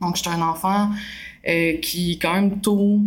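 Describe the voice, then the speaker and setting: A woman with a Quebec accent speaks at a fairly slow pace with fairly even intonation and a somewhat breathy voice. Audible room echo fills the recording. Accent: Québécois French. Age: 20s. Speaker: novelist and film student. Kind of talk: interview. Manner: hesitant, many filler sounds.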